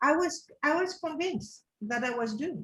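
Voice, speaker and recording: A woman's voice sounds somewhat breathy. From Morocco (French family, Casablanca). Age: 60s. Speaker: wisdom teacher, seminar leader. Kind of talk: interview. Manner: animated.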